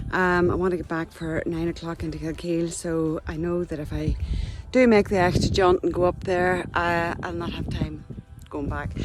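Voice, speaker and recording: With music in the background, a woman in a Northern Irish accent speaks at a moderate pace in a fairly low pitch, her intonation fairly even. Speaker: hiking vlogger. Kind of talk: outdoor vlog. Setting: outdoors, mountain hike.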